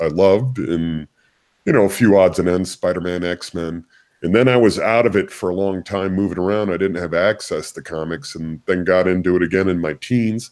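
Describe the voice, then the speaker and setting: Very deep and low in pitch, a man talks with an American accent and ordinary pitch variation. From US, military bases abroad. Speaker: comic book artist. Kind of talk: interview.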